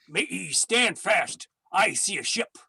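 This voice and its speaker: Put-on character voice, raspy in texture. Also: fairly high pitch. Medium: stage play. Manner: blunt, menacing.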